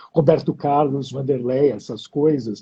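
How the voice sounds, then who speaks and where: A man's fairly high-pitched voice. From Brazil, São Paulo, child of Hungarian immigrants. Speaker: poet and translator. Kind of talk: interview conversation. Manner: hesitant, repeats words.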